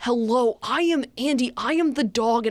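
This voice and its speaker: A put-on character voice with a fairly high pitch delivers lines at a moderate pace in a pompous, enthusiastic tone. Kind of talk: polished, presentation-like. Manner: pompous, overly enthusiastic.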